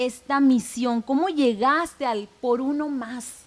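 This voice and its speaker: A woman's high-pitched voice at a very slow pace. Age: 40s. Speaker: podcast host. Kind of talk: interview.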